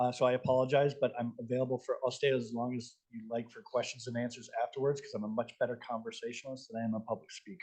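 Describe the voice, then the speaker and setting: With hardly any pauses, a man with an American accent and a medium pitch speaks at a very fast pace in a monotone, flat intonation. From US Midwest, Moline Illinois. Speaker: nonprofit housing development executive. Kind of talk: panel presentation.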